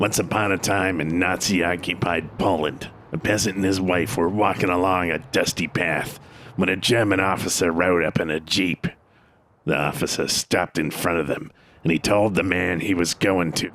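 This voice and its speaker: Using a put-on character voice, a man speaks in a very deep, low, raspy tone at a moderate pace, with fairly even intonation and very even loudness. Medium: audio drama. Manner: gruff, tough-guy.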